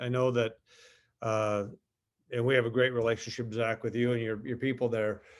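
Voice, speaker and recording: In an Upper Midwest accent, a man talks in a medium pitch with a monotone, flat delivery. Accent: Upper Midwest American. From southern Minnesota, US Midwest. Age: 50s. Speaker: company executive. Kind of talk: interview. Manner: halting, many fillers.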